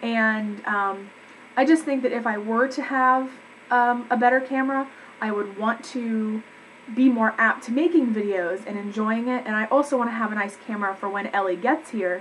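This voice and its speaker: A woman talks with normal pitch movement while clear background noise can be heard. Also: fairly high pitch for a woman. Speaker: vlogger. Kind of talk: casual vlog update. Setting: home, webcam recording. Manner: fast.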